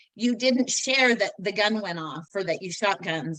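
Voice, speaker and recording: A woman with an American accent speaks in a plain, everyday voice at a fairly slow pace. Her pitch is medium, with ordinary pitch variation. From Northern Utah. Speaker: interview guest. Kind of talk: personal testimony in interview.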